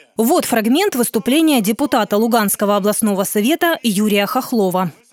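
A woman speaks with lively intonation. The sound is dry and close with no echo, though noticeable background noise comes through. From Luhansk, eastern Ukraine. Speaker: podcast host and narrator. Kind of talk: scripted narration.

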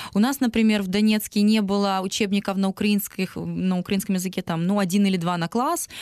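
A woman at medium pitch, very fast and fairly even in intonation, against a quiet background. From Donetsk, eastern Ukraine. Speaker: singer. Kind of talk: interview.

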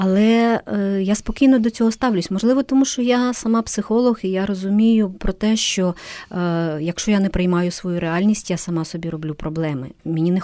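With a dark, mellow tone, a woman at medium pitch talks at a fairly quick pace. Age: 50s. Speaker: psychologist and coach. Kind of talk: interview. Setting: studio.

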